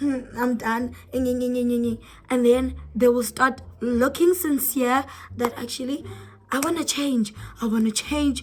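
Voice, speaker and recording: An animated tone with noticeable background noise. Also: woman. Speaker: YouTuber. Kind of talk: casual vlog talk to camera.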